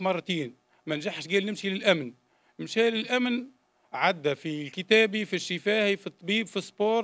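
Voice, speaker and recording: A man speaks in a high voice with ordinary pitch variation, keeping a moderate pace. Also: quiet background. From Tunisia, Jendouba; Tunisia. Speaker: former political prisoner giving testimony; witness. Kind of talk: public testimony. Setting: public hearing. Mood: grave, aggrieved personal account. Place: hall. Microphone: podium.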